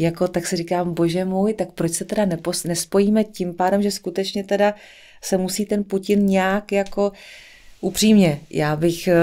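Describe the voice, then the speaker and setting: Over a quiet background, a woman speaks at a moderate pace. Her tone is dark and mellow, and her intonation is monotone and flat. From central Bohemia, Czech Republic. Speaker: singer and actress; actress. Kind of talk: casual interview chat. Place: studio. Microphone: studio mic.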